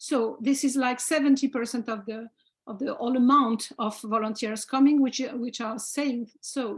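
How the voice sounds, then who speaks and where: Speaking at a moderate pace, a woman with a French accent uses a high pitch and fairly even intonation. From France. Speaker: heritage volunteer organization representative. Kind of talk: panel discussion. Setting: video call. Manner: halting.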